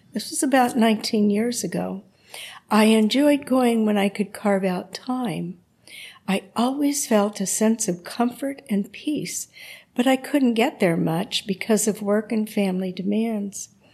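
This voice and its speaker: A somewhat breathy woman with a fairly high pitch speaks at a fairly slow pace, her pitch varying in an ordinary way. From Arizona, small town. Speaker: parishioner, eucharistic adorer. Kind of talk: testimony.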